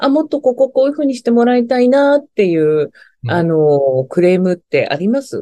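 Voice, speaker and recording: Her high pitch, very wide pitch swings and dark, mellow tone come through at a moderate pace, as the woman is recorded with a dry, close sound and no echo. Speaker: HR strategy consultant. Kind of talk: interview testimony.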